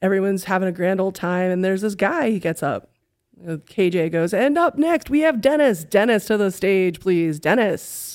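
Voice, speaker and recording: An unremarkable speaking voice from a woman with an American accent, medium in pitch, with lively intonation at a moderate pace, on a very clean recording with a silent background. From New York City. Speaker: comedian and podcaster. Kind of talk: storytelling in casual chat.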